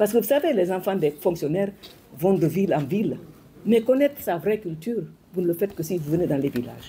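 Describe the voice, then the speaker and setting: A woman with a fairly low pitch, a dark, mellow tone and a somewhat breathy quality talks at a fairly quick pace, her pitch swinging very widely. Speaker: former minister and educator. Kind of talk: speech to an audience. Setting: hall with audience. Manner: fast.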